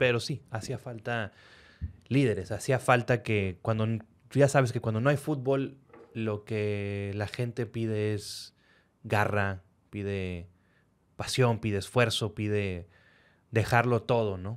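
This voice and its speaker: Long, frequent pauses break up a man's very slow speech. His pitch is fairly low, his intonation fairly even. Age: 30s. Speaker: podcast host; podcast host interviewer. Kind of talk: interview. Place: studio. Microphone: studio mic.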